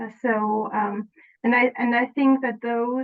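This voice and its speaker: Her pitch fairly high, a woman with a German accent speaks with fairly even intonation. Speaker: former client. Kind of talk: interview. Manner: halting, many fillers.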